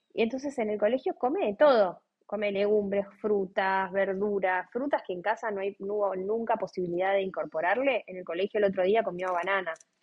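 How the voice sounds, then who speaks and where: A woman with a Rioplatense accent speaks at a fairly quick pace with hardly any pauses, her medium pitch showing ordinary variation. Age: 30s. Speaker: lawyer and mother of a child with a rare disease. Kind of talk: interview, personal testimony. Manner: hesitant, many fillers and repetitions.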